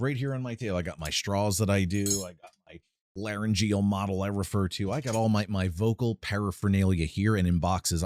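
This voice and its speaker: In a normal speaking voice, a man with a fairly low pitch talks at a fairly quick pace, his intonation fairly even and his loudness swinging widely. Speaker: vocal coach. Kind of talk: casual talk to camera. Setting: home studio.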